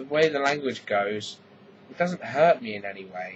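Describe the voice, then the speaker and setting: Speaking fairly slowly, a man talks with an English accent. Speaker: vlogger. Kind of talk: casual vlog monologue.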